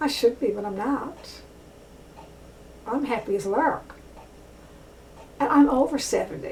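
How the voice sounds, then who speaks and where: Lively intonation at a fairly slow pace, with long, frequent pauses and noticeable background noise. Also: woman, high pitch for a woman. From rural area. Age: 70s. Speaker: author and vlogger. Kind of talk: casual monologue vlog. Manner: halting, many fillers.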